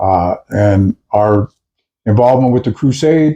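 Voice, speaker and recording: Dry and close with no echo, a man's voice with an American accent moves very slowly in a dark, mellow tone. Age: 60s. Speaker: videocast co-host, activist. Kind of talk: casual discussion.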